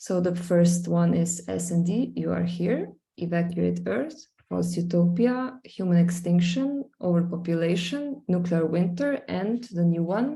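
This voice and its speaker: A woman speaks at a fairly slow pace in a Slovenian accent, her pitch fairly low. Her tone is dark and mellow and somewhat breathy. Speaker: visual artist. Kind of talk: screen-share presentation. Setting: live stream, screen sharing. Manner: hesitant, many fillers.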